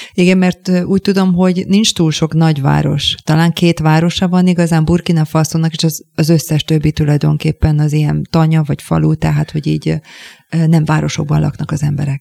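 The voice has a dark, mellow tone, monotone, flat intonation and very even loudness at a fairly quick pace, with a dry, close sound with no echo. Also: woman, very deep, low pitch for a woman. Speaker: radio host. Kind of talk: interview. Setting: studio.

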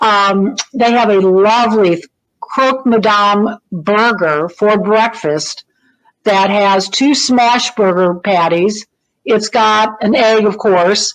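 The speaker's loudness stays very even, and the pitch varies in an ordinary way. The pace is very slow. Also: woman, fairly high pitch for a woman. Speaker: food columnist. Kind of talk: casual chat.

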